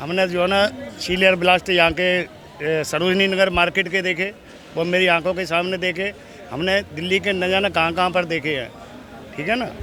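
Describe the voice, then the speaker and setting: Moderate pace and fairly even intonation, with noticeable background noise. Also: man, high pitch for a man. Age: 60s. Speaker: member of the public interviewed on the street. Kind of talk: street interview, political argument.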